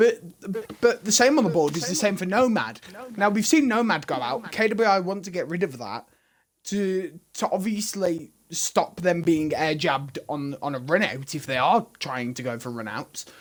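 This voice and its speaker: Loud and high-pitched, a man with a Birmingham accent talks at a moderate pace with very wide pitch swings. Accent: loud Birmingham (Brummie). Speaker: esports caster. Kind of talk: live commentary.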